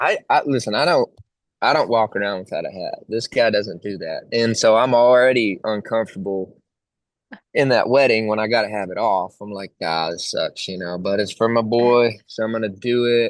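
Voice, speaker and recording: At a moderate pace, a man with a Texan accent talks at a medium pitch with ordinary pitch variation. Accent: own accent remarked, country Texan. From Texas. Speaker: country singer. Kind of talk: casual interview chat.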